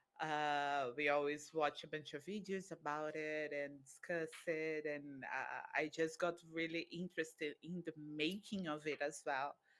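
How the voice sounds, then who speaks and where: A Brazilian accent at a fairly slow pace, with monotone, flat intonation and hardly any pauses. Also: woman, very deep, low pitch for a woman. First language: Brazilian Portuguese. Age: 30s. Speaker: volunteer. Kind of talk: interview. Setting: live stream.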